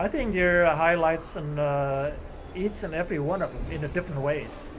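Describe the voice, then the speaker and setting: A man speaks at a moderate pace in a high voice with ordinary pitch variation, over noticeable background noise. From Indonesia. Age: 70s. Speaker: badminton player. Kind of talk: interview.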